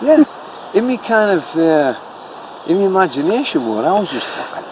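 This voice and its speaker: A man talks at a fairly slow pace in a high pitch, with very wide pitch swings. Noticeable background noise is present. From Sunderland, North East England. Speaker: comedian and storyteller. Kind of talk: casual reminiscing interview answer.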